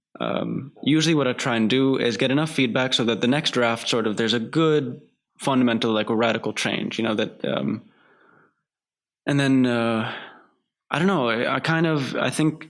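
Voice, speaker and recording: A medium-pitched man with an American accent, very even in loudness, on a very clean recording with a silent background. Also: ordinary pitch variation, moderate pace. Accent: American-sounding accent from TV. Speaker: filmmaker. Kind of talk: casual interview. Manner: halting, many fillers.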